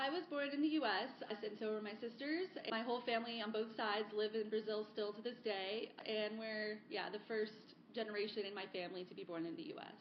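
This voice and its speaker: A woman with an unremarkable speaking voice and an American accent, fairly high in pitch, at a fairly quick pace with ordinary pitch variation. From South Florida, US. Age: 30s. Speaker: sustainability advocate. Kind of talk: podcast interview.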